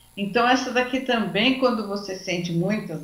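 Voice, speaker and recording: With audible room echo and noticeable background noise, a woman speaks fairly slowly at a medium pitch with ordinary pitch variation. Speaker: lecturer on anxiety. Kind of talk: lecture.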